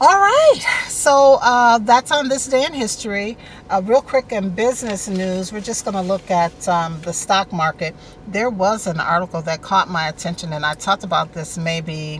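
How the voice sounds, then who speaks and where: The sound is dry with no echo, with light background noise and a moderate pace. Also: woman. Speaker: online show host. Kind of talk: casual vlog chat. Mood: warm, friendly. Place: car. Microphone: phone near.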